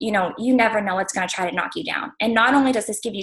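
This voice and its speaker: Her voice is somewhat breathy. This woman's pitch sits at a medium level. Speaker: fitness business coach. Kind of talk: testimony. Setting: livestream video call. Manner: fast.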